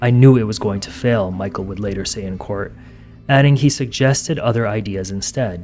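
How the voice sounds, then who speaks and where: Over music in the background, a man talks at a fairly quick pace with a fairly low pitch, ordinary pitch variation and big swings in loudness. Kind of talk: true crime documentary narration.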